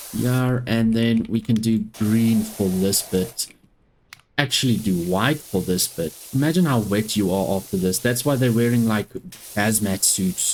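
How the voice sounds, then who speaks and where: A woman with a South African accent speaks at a very deep, low pitch and a fairly slow pace. Her loudness stays very even, with ordinary pitch variation. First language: Afrikaans. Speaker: gaming YouTuber. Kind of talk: let's play gameplay commentary.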